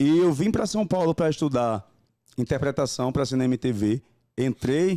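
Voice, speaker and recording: A man's dark, mellow voice, fairly high in pitch, with ordinary pitch variation at a moderate pace, in a dry, close sound with no echo. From Brazil, Rio Grande do Norte (Goianinha / Tibau do Sul). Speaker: actor, dancer and singer. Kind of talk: interview, casual chat.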